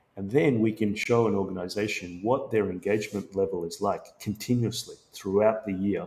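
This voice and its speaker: Speaking with an Australian accent, a man uses a fairly low, somewhat breathy voice at a moderate pace. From Sri Lanka and Australia. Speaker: tech company founder and CEO. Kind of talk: podcast interview.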